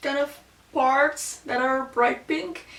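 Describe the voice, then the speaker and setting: Speaking fairly slowly, this voice carries a non-native accent. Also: woman. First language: Slovak and Dutch. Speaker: beauty YouTuber. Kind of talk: casual chat. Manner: casual, with many fillers.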